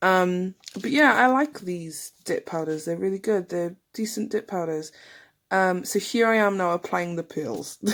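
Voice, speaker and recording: A woman with an English accent speaks at medium pitch and a fairly slow pace. Her intonation is lively, and the recording is very clean with a silent background. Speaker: nail tutorial youtuber. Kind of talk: voice-over tutorial narration. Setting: home. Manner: casual, hesitant with many ums.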